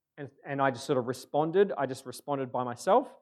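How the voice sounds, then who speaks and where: A man speaks at a fairly quick pace in a medium pitch. The background is quiet. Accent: Australian. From Australia, Adelaide. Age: 30s. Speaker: pastor. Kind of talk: sermon. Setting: church. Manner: halting.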